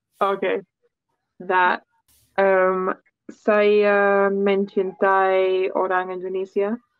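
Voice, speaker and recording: Over music in the background, a woman talks at a very slow pace with long, frequent pauses. Her medium-pitched voice stays monotone and flat. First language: English (speaking Indonesian). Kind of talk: casual chat. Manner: halting.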